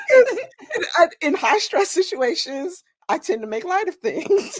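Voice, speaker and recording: An American-accented woman with extremely high pitch, very wide pitch swings and a fairly slow pace. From New Jersey. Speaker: romance author. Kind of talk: casual chat.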